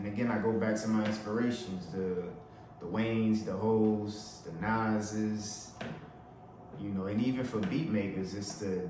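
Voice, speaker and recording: Speaking at a fairly slow pace with a New Orleans accent, a man with a fairly low voice is heard over noticeable background noise and audible room echo. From New Orleans, Louisiana. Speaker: rapper and beat maker. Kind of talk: casual talk to camera, song breakdown. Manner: casual, filler-heavy.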